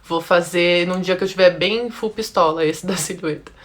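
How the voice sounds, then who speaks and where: A woman at a medium pitch with ordinary pitch variation, moving at a moderate pace. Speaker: style consultant. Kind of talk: live-stream class. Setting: Instagram live.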